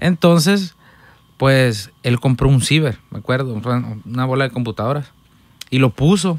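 Taking long, frequent pauses, a man speaks at a fairly slow pace with ordinary pitch variation, and the sound is dry with no echo. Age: 20s. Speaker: musician, accordionist; podcast guest. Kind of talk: casual chat. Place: studio. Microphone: studio mic.

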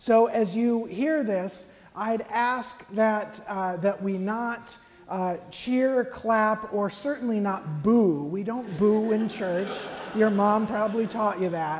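A woman speaking very slowly with ordinary pitch variation, music in the background. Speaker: priest celebrant. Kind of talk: church announcement. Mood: gentle, pastoral. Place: church.

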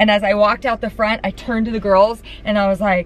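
The woman's voice sounds dry with no echo, over light background noise. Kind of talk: casual vlog chat. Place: car.

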